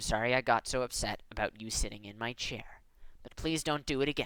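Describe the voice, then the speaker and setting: This is a put-on character voice, growling at a low-to-middle pitch. It moves at a fairly quick pace. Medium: read story. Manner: flat, growling.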